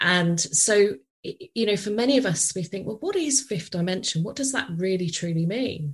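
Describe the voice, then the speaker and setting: In a British accent, a woman speaks at a moderate pace with lively intonation. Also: medium pitch for a woman. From UK. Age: 40s. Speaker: podcast host, business coach. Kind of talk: interview conversation; psychic card reading.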